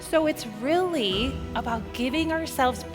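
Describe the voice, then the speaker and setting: Music plays in the background. Over it, a woman talks at a fairly slow pace. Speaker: motivational keynote speaker. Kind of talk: motivational keynote talk and interview answers. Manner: upbeat, energetic.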